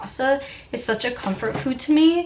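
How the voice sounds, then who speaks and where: A woman speaks in an animated tone at a fairly quick pace. Noticeable background noise runs under her voice. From New York City, Staten Island. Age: 20s. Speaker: lifestyle vlogger. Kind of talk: casual vlog chat.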